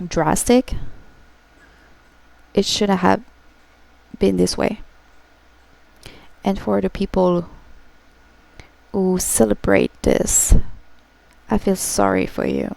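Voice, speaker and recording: A woman with a French accent at a very slow pace, with long, frequent pauses. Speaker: gaming streamer. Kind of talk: emotional livestream talk to viewers. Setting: livestream. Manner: halting.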